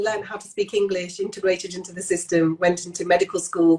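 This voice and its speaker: A woman with a British accent speaks with monotone, flat intonation. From Pakistan (Lahore), moved to UK at nine. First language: Punjabi. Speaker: general practitioner. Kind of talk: casual interview chat. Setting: Instagram Live video chat.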